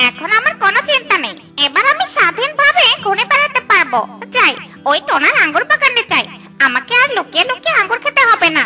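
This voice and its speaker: A cartoonish character voice, extremely high with very wide pitch swings, at a moderate pace over clear background music. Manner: excitable.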